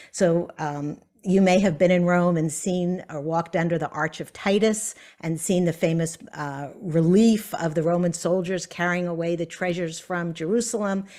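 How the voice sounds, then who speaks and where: A woman's fairly low voice with an American accent, fairly even intonation and a moderate pace, a normal speaking voice. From US South. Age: 60s. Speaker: author. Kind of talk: author talk.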